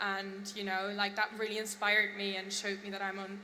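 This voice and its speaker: Over noticeable background noise and audible room echo, a woman with a German accent speaks at a moderate pace and a medium pitch. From Germany. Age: young. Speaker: fashion designer. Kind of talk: on-stage interview.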